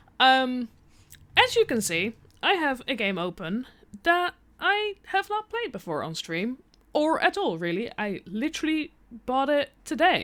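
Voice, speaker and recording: A high-pitched woman with a non-native accent, fairly slow, with very wide pitch swings and long, frequent pauses. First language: not English. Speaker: game streamer. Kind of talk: live gameplay stream. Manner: casual, hesitant with fillers.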